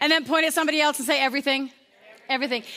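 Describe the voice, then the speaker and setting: A woman speaks in a raised, projected voice with an upbeat tone. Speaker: motivational speaker. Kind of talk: live audience presentation, interactive talk. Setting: live event with audience. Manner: conversational, engaging, upbeat.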